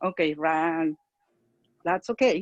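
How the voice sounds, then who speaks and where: Someone with a Spanish accent speaks at a moderate pace with very wide pitch swings. The sound is dry and close, with no echo. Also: woman. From Mexico. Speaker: parent and church leader. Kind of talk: online community discussion. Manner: halting.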